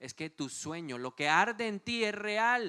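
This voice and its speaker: In a dry, close recording with no echo, a man speaks at a fairly slow pace with a bright, sharp, animated tone and very wide pitch swings. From Colombia, Bogotá. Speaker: pastor. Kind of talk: sermon.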